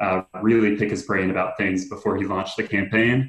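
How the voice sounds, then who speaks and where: A man with an American accent uses a normal speaking voice, fairly low in pitch, with fairly even intonation. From South Carolina. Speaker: campaign worker. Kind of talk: interview.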